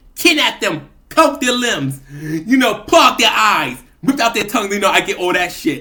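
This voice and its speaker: Over noticeable background noise, a man with a high pitch uses a raised, projected voice, very wide pitch swings and hardly any pauses. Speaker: vlogger. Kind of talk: casual monologue vlog. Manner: fast.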